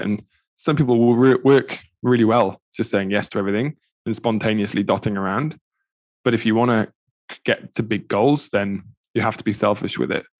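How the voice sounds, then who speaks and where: In a Welsh accent, the speaker goes at a fairly quick pace with fairly even intonation against a quiet background. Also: man. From Wales, Pembrokeshire. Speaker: endurance coach and triathlete. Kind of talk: casual interview.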